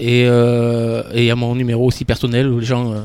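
A man's medium-pitched voice at a fairly slow pace. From Dordogne, southwest France. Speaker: padel coach. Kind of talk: radio interview. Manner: halting, with repetitions.

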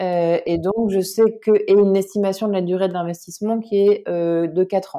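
At a medium pitch, a woman speaks in a monotone, flat intonation with hardly any pauses. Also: moderate pace. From northern France (Lille area). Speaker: cofounder and CEO of a crowdfunding platform, former journalist. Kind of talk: interview. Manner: hesitant, frequent filler sounds.

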